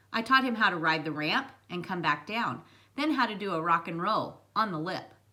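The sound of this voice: Lively intonation in an unforced reading voice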